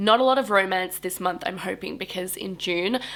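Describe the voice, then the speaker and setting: A woman speaks with an Australian accent at a moderate pace. Her pitch varies in an ordinary way. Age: 20s. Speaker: book YouTuber. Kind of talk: casual talk to camera.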